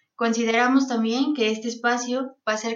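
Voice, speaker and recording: The delivery comes at a moderate pace in a flat, monotone intonation. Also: woman. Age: 20s. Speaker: podcast co-host, political scientist. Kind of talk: scripted narration.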